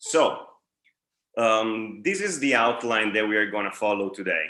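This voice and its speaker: A man with an Italian accent speaks at a fairly slow pace. His tone is bright and sharp. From Italy, Bari (Puglia). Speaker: dental lecturer, periodontist. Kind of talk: lecture. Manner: halting, many fillers.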